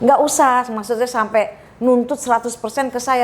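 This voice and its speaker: Loud and high-pitched, a woman talks at a fairly quick pace with ordinary pitch variation over noticeable background noise. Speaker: cooking course owner. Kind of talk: interview. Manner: animated.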